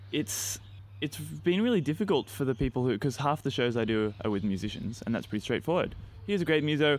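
A man with an Australian accent speaks at a very fast pace, his pitch in the medium range. His pitch swings very widely. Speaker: podcast host. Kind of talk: casual interview chat.

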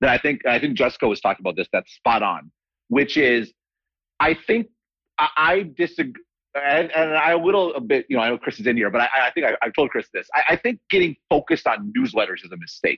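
Showing vocal fry and very wide pitch swings, a man speaks at a fairly high pitch and a fairly quick pace. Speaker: newsletter writer and analyst. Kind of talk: panel discussion.

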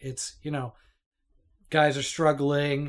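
A man's unremarkable speaking voice with a Canadian accent, fairly high in pitch and fairly slow, in a very clean recording with a silent background. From Toronto, Canada. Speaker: podcast co-host. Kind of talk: casual chat.

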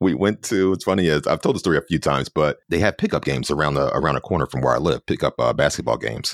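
A man talks at a very fast clip with an American accent, barely pausing. The sound is dry and close with no echo, and his loudness stays very even. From Philadelphia. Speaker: photographer and former TV news reporter. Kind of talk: casual interview chat.

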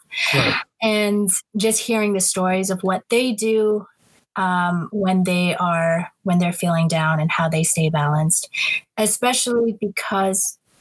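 Somewhat breathy, a woman speaks at a medium pitch and a very slow pace. Her intonation is fairly even. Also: very even loudness. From Southeast Asia. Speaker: singer-songwriter. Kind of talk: casual interview.

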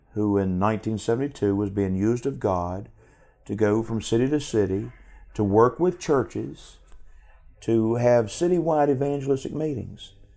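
A man with a dark, mellow tone and medium pitch speaks at a moderate pace with lively intonation on a very clean recording with a silent background. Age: 50s. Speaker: evangelist. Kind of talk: testimony. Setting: live stream.

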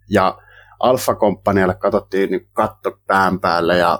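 This man's voice comes through dry and close, with no echo. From Finland, South Ostrobothnia (Kauhava). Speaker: volunteer soldier. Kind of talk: interview. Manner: halting.

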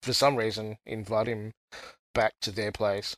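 A man with an Australian accent speaks in a fairly low, monotone voice with flat intonation, recorded dry and close with no echo over a quiet background. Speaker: listener guest. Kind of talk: casual chat.

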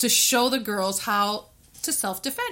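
With noticeable background noise behind her, a woman speaks at a fairly high pitch with ordinary pitch variation. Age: 50s. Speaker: podcast co-host. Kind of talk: casual chat.

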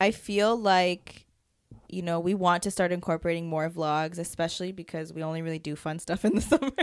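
Speaking fairly quickly, a woman with an ordinary speaking voice keeps a fairly low pitch with ordinary pitch variation. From Canada. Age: 30s. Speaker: podcast co-host. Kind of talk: casual chat.

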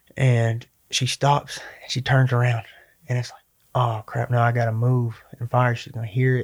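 A man's somewhat breathy, medium-pitched voice, monotone and flat in intonation, with big swings in loudness. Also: moderate pace. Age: 20s. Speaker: MMA fighter. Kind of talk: casual chat.

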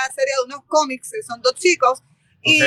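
A woman's raised, projected voice, high-pitched with a bright, sharp tone, at a moderate pace in a dry, close sound with no echo. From Puerto Rico, Barranquitas. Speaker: bookshop owner and literary fair organizer. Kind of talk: interview.

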